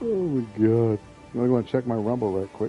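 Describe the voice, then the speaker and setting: A man speaks with lively intonation over music in the background. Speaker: gaming streamer. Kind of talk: live gameplay stream. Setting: live stream. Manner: casual, rambling banter.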